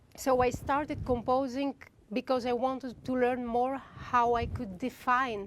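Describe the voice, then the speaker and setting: A woman with a Greek accent at a fairly slow pace. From Greece. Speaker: composer. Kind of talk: masterclass talk.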